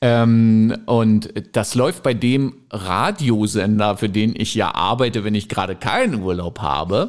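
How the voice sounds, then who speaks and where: A man speaks at a very slow pace and a fairly low pitch, with ordinary pitch variation. His loudness stays very even throughout. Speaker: podcast co-host, radio presenter. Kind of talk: casual chat.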